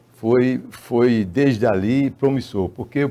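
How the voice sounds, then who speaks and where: Speaking at a very slow pace, a man with a medium pitch has a dark, mellow tone and ordinary pitch variation. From Paraíba, northeastern Brazil. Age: 80s+. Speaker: filmmaker. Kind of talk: interview. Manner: halting, with many repetitions.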